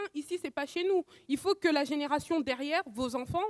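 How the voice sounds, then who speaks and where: A woman with a high pitch and lively intonation talks at a fairly quick pace, recorded with a dry, close sound and no echo. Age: 20s. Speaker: audience member in a debate show. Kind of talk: live debate audience comment. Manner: animated, assertive.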